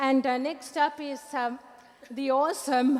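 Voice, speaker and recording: Against noticeable background noise, a woman with a non-native accent speaks in a high pitch. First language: not English. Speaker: event host and magazine editor. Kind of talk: live event speech.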